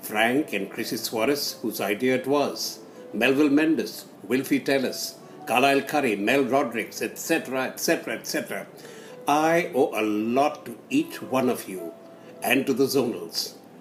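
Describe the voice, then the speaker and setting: A man's speech moves at a moderate pace while music sits in the background. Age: 80s+. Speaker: community elder reminiscing. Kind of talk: recorded reminiscence.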